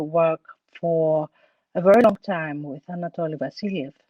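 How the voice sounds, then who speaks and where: A woman speaks with a Greek accent. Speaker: actress. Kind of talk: interview. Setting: online talk. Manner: halting, many fillers.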